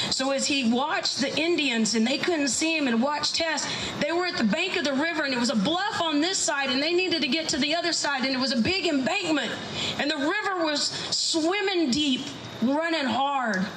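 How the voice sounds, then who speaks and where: With noticeable background noise, a woman with an American accent talks at a fairly quick pace in a high pitch and very even loudness. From South Texas. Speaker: storyteller. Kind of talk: live folk tale telling. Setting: live event venue.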